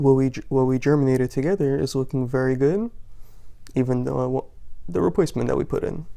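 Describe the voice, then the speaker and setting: With a quiet background behind it, the delivery comes at a fairly quick pace. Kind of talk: tutorial. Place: home room. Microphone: phone near.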